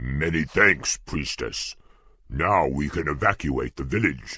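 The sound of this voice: A man slowly delivers a put-on character voice at an extremely low pitch, with lively intonation and a bright, sharp tone carrying a slightly husky edge. The recording is very clean, with a silent background.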